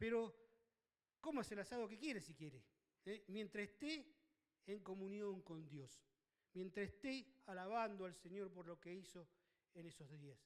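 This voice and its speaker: A man talks at a moderate pace with high pitch. His intonation is lively. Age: 60s. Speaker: pastor. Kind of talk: sermon. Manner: halting, many fillers.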